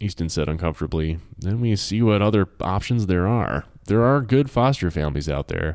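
Lively intonation in a natural voice reading aloud

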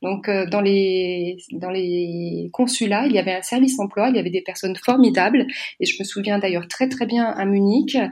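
Here is a plain, everyday voice from a woman at a medium pitch. She keeps a moderate pace with ordinary pitch variation. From France. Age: 40s. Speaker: association president and career coach. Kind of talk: podcast interview.

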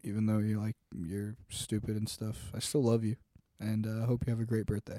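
With an American accent, a man delivers a dark, mellow tone and monotone, flat intonation in a dry, close sound with no echo. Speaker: podcast co-host. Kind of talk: casual chat.

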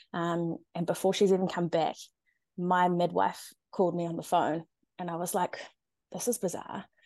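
A woman's fairly low, dark, mellow voice with a New Zealand accent, monotone and flat at a moderate pace, with long, frequent pauses over a quiet background. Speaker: NICU parent. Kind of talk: personal story interview. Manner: eloquent.

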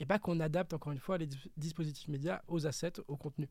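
A man with a high voice talks at a fairly quick pace with ordinary pitch variation, on a very clean recording with a silent background. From Alsace, France. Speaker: digital marketing strategist. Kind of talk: interview. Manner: hesitant, many fillers.

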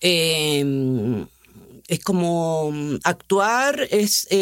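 A woman with a Chilean accent speaks with very wide pitch swings. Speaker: actress. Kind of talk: casual conversation.

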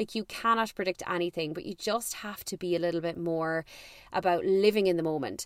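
With an Irish accent, a woman of fairly low pitch talks at a fairly quick pace in an animated tone, the sound dry and close with no echo. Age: 30s. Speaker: podcast host. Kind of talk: casual chat.

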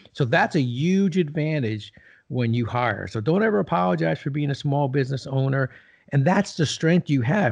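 With an American accent, a man speaks at a fairly high pitch in a somewhat breathy voice, his pitch swinging very widely. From New Jersey. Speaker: retired business executive and leadership author. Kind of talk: interview.

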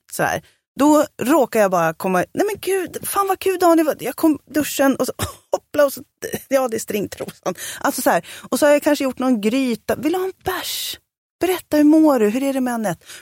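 At a moderate pace, the speaker's pitch swings very widely, and the sound is dry and close with no echo. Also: woman, high pitch for a woman. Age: 40s. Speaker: podcast co-host. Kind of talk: casual chat.

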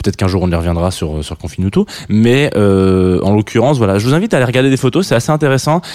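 In a very clean recording with a silent background, a man with a dark, mellow tone talks at a very fast pace. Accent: southern French. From southern France. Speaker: radio host. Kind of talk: radio show presenting. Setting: studio. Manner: halting, many fillers.

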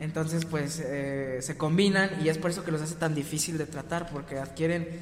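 Audible room echo and noticeable background noise surround a man speaking at a moderate pace, his fairly high voice monotone and flat. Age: young. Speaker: podcast co-host. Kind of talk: casual chat. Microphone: poor audio quality.

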